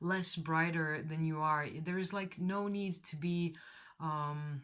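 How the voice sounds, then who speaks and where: In a non-native accent, the speaker talks at a very slow pace. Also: woman. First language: not English. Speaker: tarot reader. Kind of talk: tarot reading to camera. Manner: casual, hesitant.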